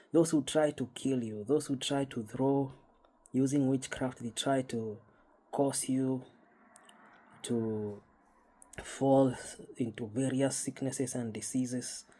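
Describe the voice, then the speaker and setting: With a Kenyan accent, a man talks very slowly in a dark, mellow tone, his intonation fairly even and his speech broken by long, frequent pauses. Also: medium pitch for a man. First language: Kikuyu. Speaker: spiritual YouTuber. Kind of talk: casual monologue. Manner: halting, repetitive.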